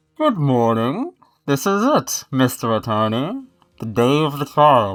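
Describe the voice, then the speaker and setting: Using a raspy, put-on character voice, a man talks at a fairly slow pace and a medium pitch. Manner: muffled.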